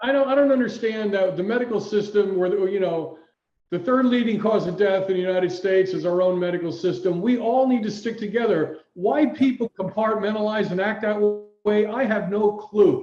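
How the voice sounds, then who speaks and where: Talking at a fairly quick pace, a man uses a high pitch and a dark, mellow tone. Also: ordinary pitch variation. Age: 60s. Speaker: performance health coach. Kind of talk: casual chat.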